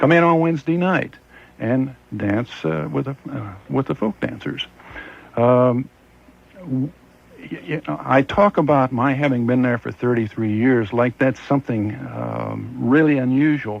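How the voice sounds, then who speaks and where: A man's medium-pitched voice with lively intonation, at a fairly slow pace, over noticeable background noise. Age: 60s. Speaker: fair master of ceremonies. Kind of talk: radio interview.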